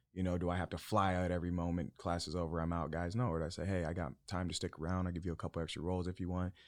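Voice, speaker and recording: A man with an American accent talks at a very fast pace with hardly any pauses, in a very deep, low pitch and a monotone, flat intonation. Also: very clean recording, silent background. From Arizona, US. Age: 30s. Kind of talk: casual chat.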